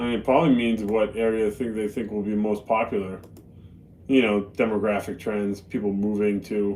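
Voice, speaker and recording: At a fairly quick pace, a man with an American accent speaks at a fairly low pitch in a monotone, flat intonation. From Boston, US. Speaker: live streamer. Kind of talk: casual chat. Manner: casual, conversational.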